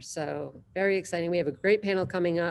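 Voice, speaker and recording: This woman talks at a fairly quick pace in a fairly low pitch. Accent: American. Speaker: innovation hub director and event host. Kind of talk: casual online panel chat. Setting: video call. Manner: animated, halting with repetitions.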